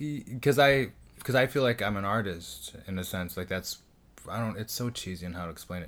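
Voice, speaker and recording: With an ordinary speaking voice, a man at a fairly low pitch talks at a fairly quick pace, his intonation lively and his loudness rising and falling in big swings. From US, Mexican-American. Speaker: podcast host and comedian. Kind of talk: solo monologue intro; casual chat. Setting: home recording.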